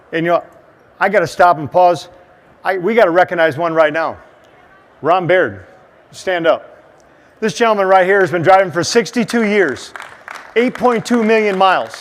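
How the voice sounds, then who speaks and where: Against noticeable background noise, a man with a high pitch and ordinary pitch variation talks at a moderate pace with long, frequent pauses. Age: 60s. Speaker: motivational speaker and former truck driver. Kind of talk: motivational seminar talk. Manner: animated.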